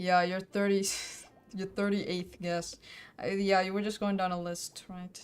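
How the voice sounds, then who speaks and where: Over music in the background, a woman talks at a moderate pace in a medium pitch with monotone, flat intonation. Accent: slight Finnish. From Finland. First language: Finnish. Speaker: streamer, artist. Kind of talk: casual live-stream chat while drawing. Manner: casual, hesitant with fillers.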